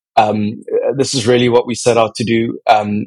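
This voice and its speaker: A man with an American accent speaks at a moderate pace and medium pitch in a normal speaking voice. The sound is dry and close, with no echo. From South Africa, with childhood years in the US. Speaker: fintech company CEO and co-founder. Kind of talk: interview.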